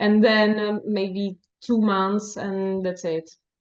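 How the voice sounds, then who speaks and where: Speaking at a very slow pace, a woman with a Czech accent uses a medium pitch. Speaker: novelist. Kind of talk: interview. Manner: halting, many fillers.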